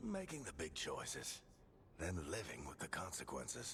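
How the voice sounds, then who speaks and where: A man speaks in a put-on character voice at a moderate pace. Background noise is clearly audible. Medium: video game. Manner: wry, warm.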